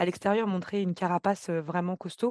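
Against a quiet background, a woman's medium-pitched voice has a dark, mellow tone, heard as a dry, close sound with no echo. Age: 20s. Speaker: podcast guest, program participant. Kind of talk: testimony. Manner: sometimes fast, stumbling.

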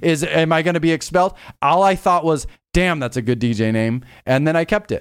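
A man with an American accent has an ordinary speaking voice and lively intonation. The recording is very clean, with a silent background. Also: fairly high pitch for a man, fairly quick pace. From Los Angeles, San Fernando Valley. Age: 40s. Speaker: DJ and music producer. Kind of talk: casual interview chat.

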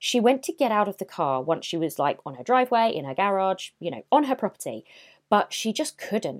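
Vocal fry marks a woman's medium-pitched voice as she talks at a fairly quick pace with very wide pitch swings and big swings in loudness, in a very clean recording with a silent background and a dry, close sound with no echo. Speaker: true crime podcast host. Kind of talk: true-crime narration. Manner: conversational storyteller, personal asides; grave, suspenseful, measured.

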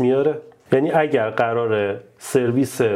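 A man talks at a fairly slow pace with ordinary pitch variation. Noticeable background noise is present. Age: 30s. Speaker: YouTuber and software engineer. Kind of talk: casual chat. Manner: simple, plain speaking.

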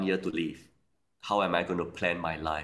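At a moderate pace, a man with a Singaporean accent talks in a very deep, low voice. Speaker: banker, author and career coach. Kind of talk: interview.

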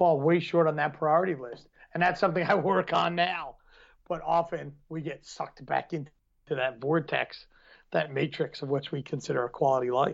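The speaker has an American accent and vocal fry. Delivery is at a moderate pace with fairly even intonation. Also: man, fairly high pitch for a man. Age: 30s. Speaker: podcast co-host, martial arts. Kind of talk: casual chat.

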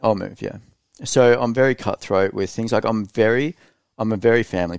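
A man with an Australian accent talks at a very fast pace with ordinary pitch variation. The recording is very clean, with a silent background and a dry, close sound with no echo. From Australia (Queensland, Hervey Bay). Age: 30s. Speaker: e-commerce entrepreneur. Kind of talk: casual chat. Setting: studio.

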